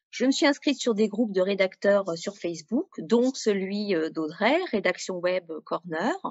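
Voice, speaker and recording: A woman with a normal speaking voice talks at a fairly slow pace. Her pitch is medium and her intonation lively. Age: 40s. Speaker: freelance web writer. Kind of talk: interview testimony.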